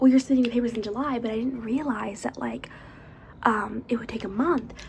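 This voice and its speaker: A soft-spoken woman whispers at a moderate pace. Noticeable background noise can be heard. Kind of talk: ASMR makeup haul, casual talk to camera. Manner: soft-spoken, whispered.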